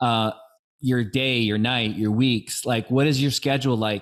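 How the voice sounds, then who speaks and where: A man talks at a moderate pace in an unremarkable speaking voice, his pitch variation ordinary. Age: 50s. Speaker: podcast host. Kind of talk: interview podcast.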